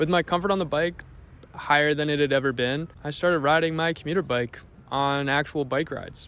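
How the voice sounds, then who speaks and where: This man has an ordinary speaking voice, pitched fairly high and delivered at a fairly quick pace. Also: fairly even intonation. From Canada, small-town Ontario. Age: 20s. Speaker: vlogger. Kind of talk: casual vlog narration.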